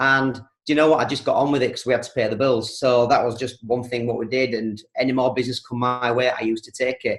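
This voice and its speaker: A man delivers his words very fast in a monotone, flat intonation at a medium pitch. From East Yorkshire, England. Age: 40s. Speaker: milkman and network marketer. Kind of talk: training talk with life story.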